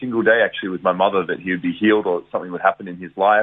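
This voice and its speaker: A man speaks with an Australian accent. His pace is very fast. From Australia, Geelong, Victoria. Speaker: evangelist. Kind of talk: testimony. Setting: radio interview.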